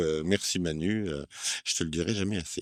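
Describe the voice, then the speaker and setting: Pitched very deep and low, the man's voice shows ordinary pitch variation. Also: very clean recording, silent background. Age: 60s. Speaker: amateur stage actor. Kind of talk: casual vlog interview. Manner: hesitant.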